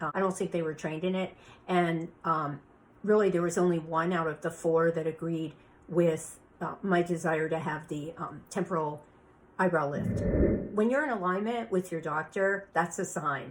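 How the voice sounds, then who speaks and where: With an ordinary speaking voice, a woman talks at a fairly low pitch. Her pace is moderate and her intonation fairly even. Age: 60s. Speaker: beauty industry veteran. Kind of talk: podcast monologue.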